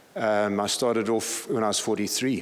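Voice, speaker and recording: With audible room echo and noticeable background noise, a man speaks at a moderate pace with fairly even intonation. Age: 60s. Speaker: senior pastor. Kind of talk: conference talk.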